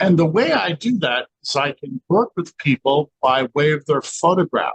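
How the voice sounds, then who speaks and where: An unremarkable speaking voice from a man, fairly high in pitch with ordinary pitch variation, in a dry, close sound with no echo. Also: moderate pace. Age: 60s. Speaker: scalar light researcher. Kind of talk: interview. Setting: in his laboratory.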